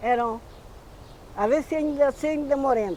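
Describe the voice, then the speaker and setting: A woman's dark, mellow, high-pitched voice at a fairly slow pace with ordinary pitch variation. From Portugal, Alentejo (Évora area). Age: 80s+. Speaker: retired farm worker. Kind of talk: interview testimony.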